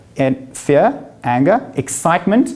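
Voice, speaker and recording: Fairly high pitch from a male speaker. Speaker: life coach / speaker. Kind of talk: motivational talk to live audience. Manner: fast; animated.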